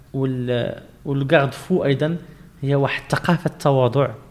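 A man speaks at medium pitch and a moderate pace. Background noise is noticeable. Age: 30s. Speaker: civic movement founder. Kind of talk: interview conversation. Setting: movement headquarters.

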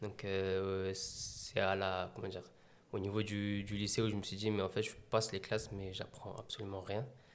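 A man's flat, monotone delivery at a moderate pace, with audible room echo. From France, Meaux (Seine-et-Marne). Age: 20s. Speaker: athlete and adventurer. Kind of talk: interview.

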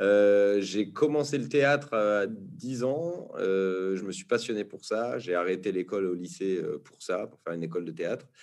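Against a quiet background, a man with a fairly low pitch and lively intonation speaks fairly slowly with hardly any pauses. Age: 30s. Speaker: actor and documentary director. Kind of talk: casual interview. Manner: hesitant, many fillers.

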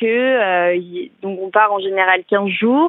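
Here a woman talks at a medium pitch. Her pitch variation is ordinary. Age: 20s. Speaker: optician and student. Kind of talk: testimony. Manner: hesitant with fillers.

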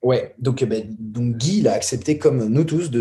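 The man's tone is dark and mellow, somewhat breathy. He speaks at a moderate pace. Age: 20s. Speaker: documentary filmmaker. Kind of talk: casual chat.

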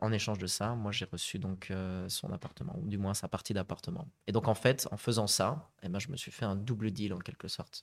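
On a very clean recording with a silent background, a man with a plain, everyday voice talks at a moderate pace and a fairly low pitch, with ordinary pitch variation. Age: 30s. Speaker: property investor, conference interpreter. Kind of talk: podcast interview.

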